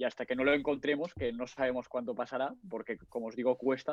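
A man speaks in a normal speaking voice. His pace is fairly quick. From Catalonia, Spain (Barcelona). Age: 20s. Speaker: forex trader and engineering student. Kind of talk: casual chat.

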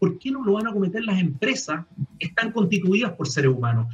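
A man with a Chilean accent, high pitch, lively intonation and a fairly quick pace. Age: 50s. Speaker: retail executive. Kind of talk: panel interview.

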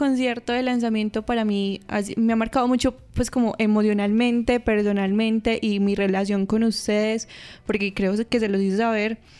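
With fairly even intonation and a moderate pace, a woman talks in an ordinary speaking voice. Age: 20s. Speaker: costume designer. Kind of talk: casual interview chat.

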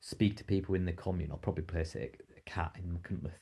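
A dark, mellow, somewhat breathy voice at a fairly quick pace, with monotone, flat intonation. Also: man. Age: 40s. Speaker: rock climber and author. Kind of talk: casual chat.

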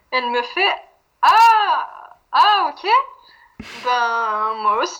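A woman projects a raised, high-pitched voice with a bright, sharp tone. Her pitch swings very widely. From France. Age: 20s. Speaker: interviewee sharing a breakup story. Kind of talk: casual interview. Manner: hesitant, many fillers.

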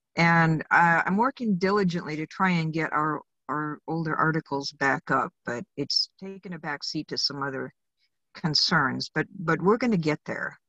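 A plain, everyday voice from a woman with an American accent, fairly low in pitch, with ordinary pitch variation, a moderate pace, and a dry, close sound with no echo over a quiet background. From Arizona, US West. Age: 60s. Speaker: electrical inspector. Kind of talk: interview. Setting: in a car, remote call.

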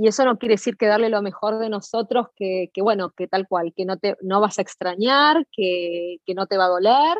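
A woman at medium pitch with ordinary variation, in a Rioplatense accent, at a moderate pace. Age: 50s. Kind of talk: interview.

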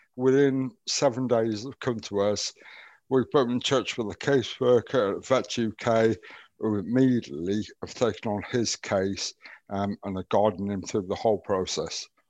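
A man with a normal speaking voice talks at a fairly low pitch and a fairly slow pace, with ordinary pitch variation, in a dry, close sound with no echo and a quiet background. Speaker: veterans wellbeing advisor, ex Royal Navy. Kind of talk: podcast interview.

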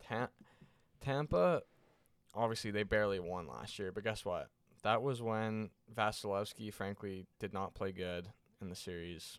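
In a very clean recording with a silent background, a man talks at a moderate pace with long, frequent pauses. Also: fairly low pitch for a man, ordinary pitch variation. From Canada. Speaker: hockey podcast co-host. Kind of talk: casual chat.

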